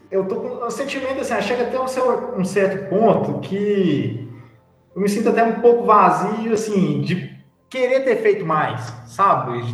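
A man talks at a fairly slow pace in a high pitch with ordinary pitch variation. Audible room echo and noticeable background noise surround him. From Brazil, Minas Gerais (Dores do Indaiá). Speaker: adult advisor of youth organization. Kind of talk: casual chat.

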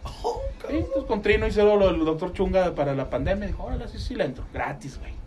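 Noticeable background noise and audible room echo are present throughout. Over them, a man speaks at a fairly quick pace. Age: 40s. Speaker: radio co-host. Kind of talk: casual chat.

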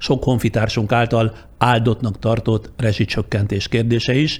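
A man with a medium-pitched, somewhat breathy voice talks at a fairly slow pace with hardly any pauses, his intonation fairly even and his loudness very even. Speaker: journalist, podcast host. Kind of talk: scripted narration; interview. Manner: formal.

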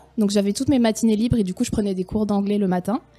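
With music in the background, a woman speaks at a fairly high pitch and with ordinary pitch variation. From France. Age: 20s. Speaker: former au pair, tourism worker. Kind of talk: casual interview.

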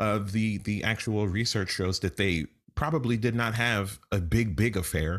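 In a plain, everyday voice with an American accent, a man speaks at a fairly low pitch and moderate pace, with ordinary pitch variation and very even loudness on a very clean recording with a silent background. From New York City. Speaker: comedian and podcast co-host. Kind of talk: casual chat.

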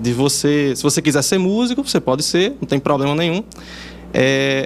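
Noticeable background noise fills the clip. A man with a fairly high pitch speaks at a moderate pace. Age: 20s. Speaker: video producer. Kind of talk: interview.

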